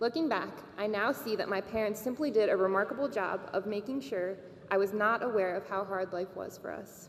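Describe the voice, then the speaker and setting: A woman speaks at a medium pitch with ordinary variation. There is noticeable background noise. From Bosnia, raised in Maryland from age 4. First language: Serbo-Croatian. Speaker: graduating student speaker. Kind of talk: commencement speech.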